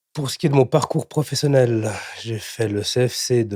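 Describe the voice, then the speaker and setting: Somewhat breathy with a dark, mellow tone, the voice moves at a moderate pace with ordinary pitch variation in a dry, close sound with no echo. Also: man, very clean recording, silent background. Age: 30s. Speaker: entrepreneur, cabinetmaker. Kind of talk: interview excerpts. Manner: hesitant, with fillers and repetitions.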